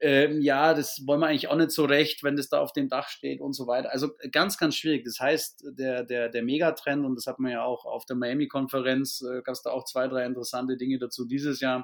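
Fairly quick speech in a southern German accent keeps a fairly even intonation. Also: man. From Bavaria, near Augsburg. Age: 30s. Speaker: business owner. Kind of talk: podcast interview.

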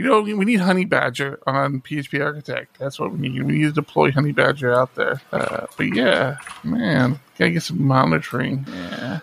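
A man with a fairly high pitch and fairly bright tone talks at a moderate pace, showing vocal fry, a slightly husky edge and lively intonation.

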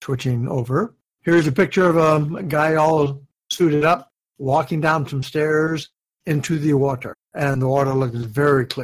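A man at a fairly high pitch, somewhat breathy, with fairly even intonation and a moderate pace. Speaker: co-host, dive instructor mentor. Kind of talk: casual chat podcast.

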